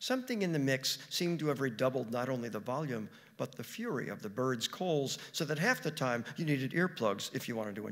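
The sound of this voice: Here is an unforced reading voice. The intonation sounds lively.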